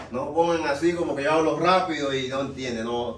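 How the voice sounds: Audible room echo surrounds a man speaking at medium pitch.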